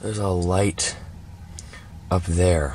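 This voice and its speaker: In a dry recording with no echo and light background noise, a man talks in a very deep, low voice. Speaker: vlogger. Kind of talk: casual vlog chat. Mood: nervous, spooked. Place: car. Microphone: phone near.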